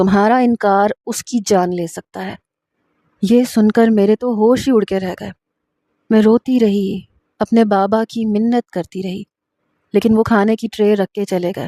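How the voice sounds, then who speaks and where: This woman has a fairly high pitch and a dark, mellow tone. Her intonation stays fairly even, and the sound is dry and close with no echo. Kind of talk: first-person romantic story narration.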